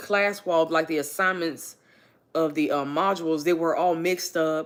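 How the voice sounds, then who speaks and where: A woman speaks at a moderate pace with a fairly low pitch. Her loudness stays very even and her intonation is flat and monotone. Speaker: livestreamer and student. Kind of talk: casual livestream chat. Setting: livestream at home on couch.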